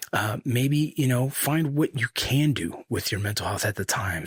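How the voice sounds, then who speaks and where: The sound is close and dry, without any echo. Words come at a fairly quick pace. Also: man. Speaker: podcast host, combat veteran. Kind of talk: solo podcast monologue. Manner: fast.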